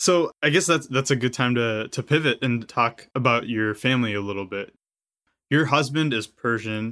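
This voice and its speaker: Using an ordinary speaking voice, a man with an American accent talks at medium pitch with ordinary pitch variation. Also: moderate pace. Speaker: podcast host. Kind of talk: interview conversation.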